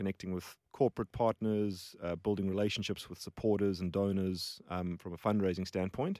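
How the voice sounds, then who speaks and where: Monotone and flat, a man speaks at a fairly low pitch and a moderate pace. The recording is very clean with a silent background and a dry, close sound with no echo. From South Africa, Johannesburg. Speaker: charity mission worker. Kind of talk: casual interview. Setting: studio.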